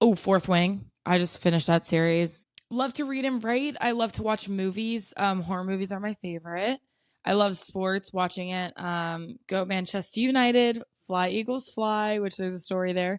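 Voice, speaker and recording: A woman with an American accent talks at a moderate pace and a medium pitch. Her pitch varies in an ordinary way, and the background is quiet. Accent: mild Southern accent, stronger at times. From US South, South Carolina. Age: 20s. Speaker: vlogger. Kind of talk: casual chat.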